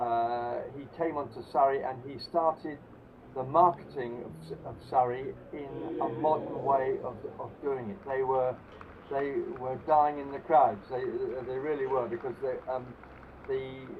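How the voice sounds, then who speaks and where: Noticeable background noise sits under a man speaking at a fairly slow pace with fairly even intonation. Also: medium pitch for a man, big swings in loudness. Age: 70s. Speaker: former club cricketer. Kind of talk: interview. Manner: halting.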